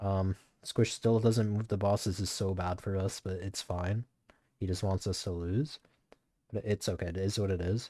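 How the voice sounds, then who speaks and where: This man's voice has a fairly low pitch and a dark, mellow tone. He keeps a moderate pace and fairly even intonation, in a dry, close sound with no echo. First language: not English. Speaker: gaming streamer. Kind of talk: gameplay commentary. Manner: casual, fillers.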